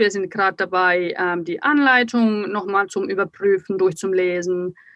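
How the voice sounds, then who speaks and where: With ordinary pitch variation, a woman delivers her words at a fairly slow pace. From Finland. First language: Finnish (German as second mother tongue) (speaking German). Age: 30s. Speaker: magazine publisher. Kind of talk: casual interview chat. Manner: hesitant, many fillers.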